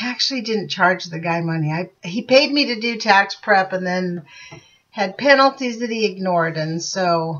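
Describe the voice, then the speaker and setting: The setting is quiet. A woman talks at a moderate speed. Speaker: channel host, book reader. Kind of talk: casual vlog chat. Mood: chatty, slightly frustrated. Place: home room. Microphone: webcam.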